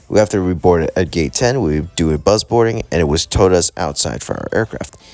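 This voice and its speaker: A man's very deep, low voice at a fairly quick pace, over noticeable background noise. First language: Vietnamese. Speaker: aviation vlogger. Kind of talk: travel vlog narration.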